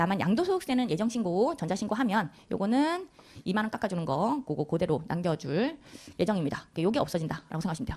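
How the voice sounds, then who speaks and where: A woman's somewhat breathy voice at a very fast pace, with very wide pitch swings. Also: medium pitch for a woman. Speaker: tax law lecturer, accountant. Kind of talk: lecture.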